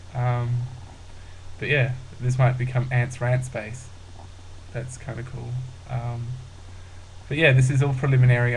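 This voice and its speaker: A man speaks at a medium pitch, somewhat breathy, with big swings in loudness. Long, frequent pauses break up his speech, and the room echo is audible. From rural Australia. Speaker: vlogger. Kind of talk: casual vlog monologue. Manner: hesitant, many fillers.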